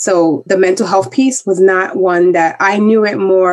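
A woman with an American accent and a plain, everyday voice speaks at a fairly slow pace, medium in pitch with fairly even intonation. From US Northeast, the Bronx, New York City. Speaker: diversity and inclusion expert. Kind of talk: interview.

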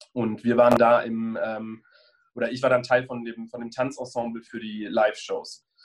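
With monotone, flat intonation and big swings in loudness, a man speaks at medium pitch and a moderate pace. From Germany, Bonn (Rhineland). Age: 30s. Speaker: choreographer and former professional dancer. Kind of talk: interview. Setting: video call.

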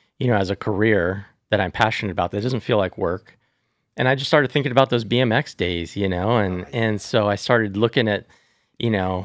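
A man's plain, everyday voice, fairly low in pitch with ordinary pitch variation, at a moderate pace in an American accent, dry and close with no echo in a very clean recording with a silent background. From Southern California. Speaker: tattoo company executive. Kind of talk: casual interview.

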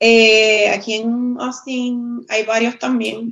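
A woman speaks with a Puerto Rican accent. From Puerto Rico, Guayama area. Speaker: former bartender, craft beer enthusiast. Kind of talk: casual chat. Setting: video call from phone. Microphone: phone instead of computer.

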